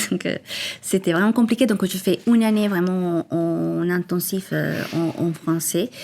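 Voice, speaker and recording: A woman with a strong Colombian accent, medium in pitch, fairly slow in pace, and fairly even in intonation. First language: Spanish (speaking French). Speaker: entrepreneur, cosmetics founder. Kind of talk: podcast interview. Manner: hesitant, many fillers.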